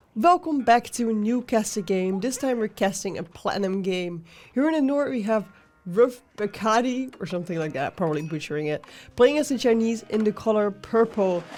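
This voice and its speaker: Music plays in the background as a woman with a fairly high pitch speaks at a moderate pace, her intonation lively. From Netherlands. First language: Dutch. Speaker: game commentator. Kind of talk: live commentary.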